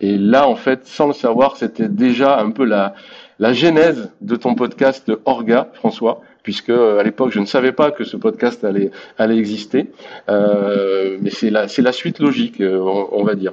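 Talking fairly slowly, a man lets his pitch rise and fall in an ordinary way. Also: medium pitch for a man. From Brittany, France. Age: 50s. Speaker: sports event platform founder. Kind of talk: casual interview. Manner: halting.

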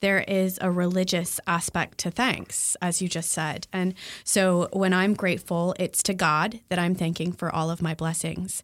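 A woman with medium pitch and fairly even intonation, an ordinary speaking voice, is heard on a very clean recording with a silent background. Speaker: podcast host. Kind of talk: casual chat.

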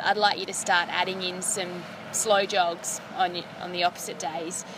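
A woman speaks in an Australian accent over noticeable background noise. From South Australia. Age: young. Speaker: elite distance runner. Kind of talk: interview.

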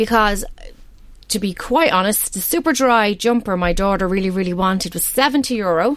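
Here a woman speaks in a Dublin accent at a medium pitch. Her intonation is lively. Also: moderate pace. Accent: Dublin Irish. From Ireland, Balbriggan, north County Dublin. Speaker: parenting website representative. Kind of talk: radio interview. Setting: radio studio.

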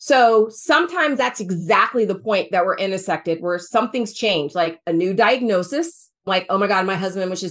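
A woman with an American accent talks at a fairly quick pace in a plain, everyday voice, at medium pitch with lively intonation. The background is quiet. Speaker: financial planner, former senior housing professional. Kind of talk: interview, casual conversational.

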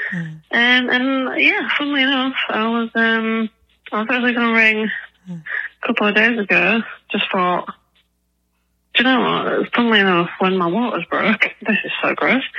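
A bright, sharp tone at a moderate pace, broken by long, frequent pauses. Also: woman, fairly high pitch for a woman, ordinary pitch variation. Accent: English. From England. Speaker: caller. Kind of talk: voicemail message. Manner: quiet. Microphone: too quiet.

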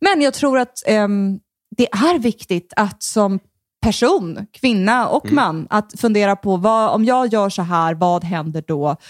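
Speaking at a very slow pace, a woman uses a medium pitch and lively intonation. The recording is very clean, with a silent background. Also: dry, close sound with no echo. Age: 30s. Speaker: comedian. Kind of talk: casual chat. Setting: host's home. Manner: soothing, rolling delivery.

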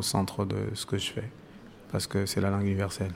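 A man with a Cameroonian accent talks at a very fast pace in a very deep, low voice. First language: Bassa (speaking French). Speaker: musician and author. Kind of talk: interview. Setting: live event venue. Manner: halting.

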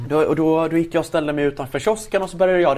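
A man with a fairly high voice talks at a fairly quick pace in an ordinary speaking voice. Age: 20s. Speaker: entrepreneur. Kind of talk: interview.

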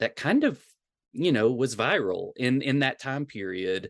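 At a fairly slow pace, a man speaks in a Tennessee accent. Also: dry, close sound with no echo. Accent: Southern US (Tennessee). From US South, rural Tennessee. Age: 40s. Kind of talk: casual interview. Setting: video call.

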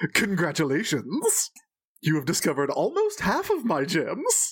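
In a booming, put-on character voice at middle pitch, the speaker moves at a moderate pace.

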